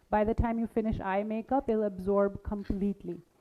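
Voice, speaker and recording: A woman with an ordinary speaking voice talks in a fairly high pitch with fairly even intonation. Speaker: makeup artist teaching a masterclass. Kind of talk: live demonstration workshop.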